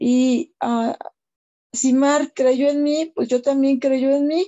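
Over a quiet background, a woman speaks at a very slow pace with fairly even intonation. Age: 50s. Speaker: beauty business owner. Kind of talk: testimony. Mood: grateful, emotional. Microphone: video call.

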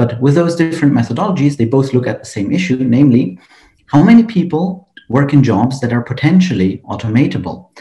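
In a room with audible echo, a man talks very fast in a somewhat breathy voice with a dark, mellow tone. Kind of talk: conference presentation. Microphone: webcam.

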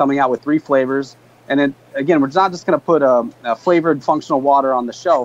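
Fairly high in pitch, a man with a plain, everyday voice speaks at a moderate pace with fairly even intonation. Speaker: beverage company co-founder. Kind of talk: interview. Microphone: video call.

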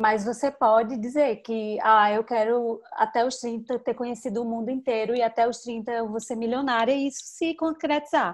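A woman at a fairly high pitch and moderate pace, fairly even intonation, hardly any pauses, against a quiet background. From Petrolina, Pernambuco, Brazil (São Francisco Valley); Pernambuco, Brazil. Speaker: digital marketing specialist; interviewee. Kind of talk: interview; interview answer. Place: home room. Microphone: video call.

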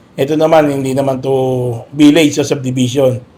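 A man speaks with a dark, mellow tone. His intonation is monotone and flat. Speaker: police officer. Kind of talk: on-site interview. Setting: outdoors. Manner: formal.

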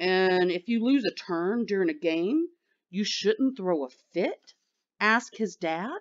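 With lively intonation, the text is read in an unforced reading voice against a quiet background.

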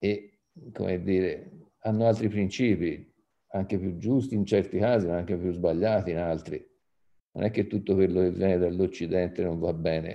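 An even-ish intonation, fairly so, at a moderate speed. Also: man, very deep, low pitch for a man. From Tuscany, Italy (Poggibonsi); Tuscany. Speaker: arts association president; panelist. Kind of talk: panel talk. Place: home room. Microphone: video call.

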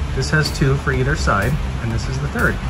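A man's moderately paced speech plays with music behind it. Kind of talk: tutorial. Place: garage. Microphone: phone near.

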